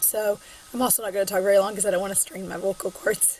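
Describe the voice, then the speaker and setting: Noticeable noise sits in the background. Through it, a woman talks with an American accent. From Southern Illinois. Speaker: college English instructor. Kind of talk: recorded online lecture. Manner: casual, filler-heavy.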